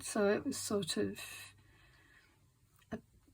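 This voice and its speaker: Her voice is somewhat breathy and fairly high in pitch, with a relaxed tone. This woman speaks at a very slow pace. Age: 60s. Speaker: craft video creator. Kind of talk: casual craft tutorial narration. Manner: halting, many fillers; relaxed, slow.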